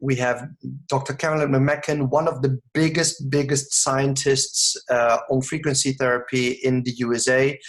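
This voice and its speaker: A man's voice, somewhat breathy and fairly high in pitch. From Netherlands. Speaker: network marketing distributor. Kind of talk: sales pitch. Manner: mumbling; halting.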